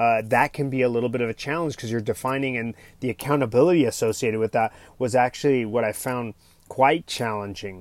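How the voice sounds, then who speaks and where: Talking at a very fast pace, a man with a medium pitch and ordinary pitch variation comes through a very clean recording with a silent background and a dry, close sound with no echo. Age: 40s. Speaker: father and coach on a family travel podcast. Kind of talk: solo podcast monologue. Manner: soft-spoken.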